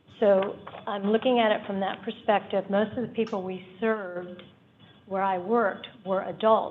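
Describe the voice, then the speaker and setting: Over noticeable background noise, the speaker talks at a moderate pace with monotone, flat intonation. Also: woman. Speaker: public commenter, community health worker. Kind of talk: public comment at board meeting.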